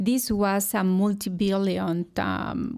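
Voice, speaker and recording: A woman with a Mexican accent, on a very clean recording with a silent background. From Mexico, Hidalgo. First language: Spanish. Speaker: food company executive. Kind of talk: interview. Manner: hesitant, many fillers.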